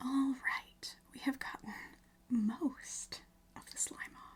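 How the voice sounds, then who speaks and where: A woman whispers at a fairly slow pace. Her tone is gentle. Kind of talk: ASMR slime video, soft-spoken talk to camera. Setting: home recording with a storm outside. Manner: soft-spoken, gentle.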